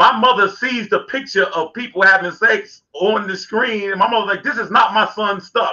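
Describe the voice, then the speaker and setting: A man's raised, projected voice, high in pitch, bright and sharp in tone, with ordinary pitch variation, a moderate pace and hardly any pauses, against a quiet background. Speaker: talk show co-host. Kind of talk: casual chat. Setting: live stream. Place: home room. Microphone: video call.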